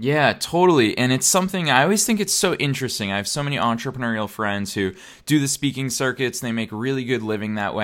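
On a very clean recording with a silent background, a man talks at a very fast pace in an upbeat, enthusiastic tone. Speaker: podcast host. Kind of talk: casual interview.

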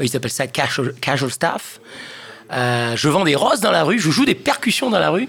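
With lively intonation and a fairly high pitch, a man talks at a moderate pace. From Réunion Island. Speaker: session musician. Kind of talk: casual chat.

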